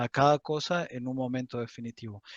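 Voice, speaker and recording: The delivery is fairly slow with fairly even intonation. The sound is dry and close, with no echo. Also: man. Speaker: university teaching assistant. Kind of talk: lecture. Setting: video call. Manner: halting.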